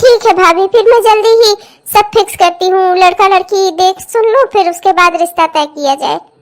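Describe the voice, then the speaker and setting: A woman's cartoonish character voice at an extremely high pitch, with ordinary pitch variation and a moderate pace. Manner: chatty, persuasive.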